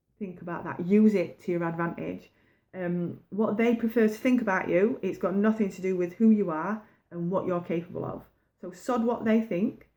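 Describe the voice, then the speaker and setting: A woman with a northern English accent has a dark, mellow tone at a medium pitch. She talks at a moderate pace with fairly even intonation. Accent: broad northern English. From northern England, pit village. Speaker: baking business coach. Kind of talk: motivational talk to camera. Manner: casual, conversational.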